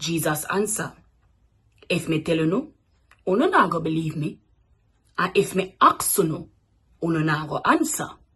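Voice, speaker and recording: A woman speaks at a fairly slow pace with a Jamaican accent. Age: 20s. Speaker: radio announcer. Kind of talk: scripture reading.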